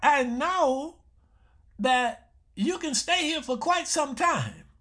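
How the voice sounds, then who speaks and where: In a raised, projected voice, a man speaks with a bright, sharp tone and lively intonation. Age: 70s. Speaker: health show host, doctor. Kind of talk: radio health talk monologue. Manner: repetitive, conversational.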